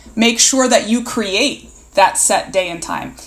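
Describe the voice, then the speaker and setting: A woman with a fairly high pitch and ordinary pitch variation speaks at a moderate pace, with noticeable background noise behind her. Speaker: college provost.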